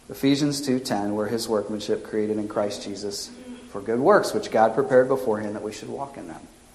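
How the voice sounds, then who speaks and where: Noticeable background noise mixes with audible room echo as a man speaks. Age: 40s. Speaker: pastor. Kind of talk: sermon.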